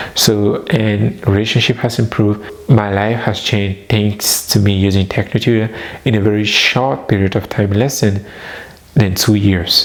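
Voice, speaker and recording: Over noticeable background noise, a man with a fairly low pitch speaks at a moderate pace with very even loudness. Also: fairly even intonation. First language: not English. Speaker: personal development vlogger. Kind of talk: personal testimony.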